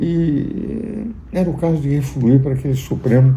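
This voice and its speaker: There is audible room echo around a man whose voice is somewhat breathy. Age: 80s+. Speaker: jurist and political commentator. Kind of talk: political commentary.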